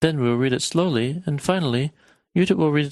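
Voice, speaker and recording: Against a quiet background, a man with an American accent speaks at a very fast pace. His pitch is fairly high and his intonation lively. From United States. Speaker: language teacher. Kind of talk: language lesson.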